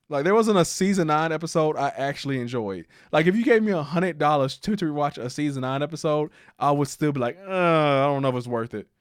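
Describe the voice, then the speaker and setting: On a very clean recording with a silent background, a man talks at a very fast pace with a fairly high pitch and lively intonation. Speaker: streamer and video reviewer. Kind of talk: casual livestream chat.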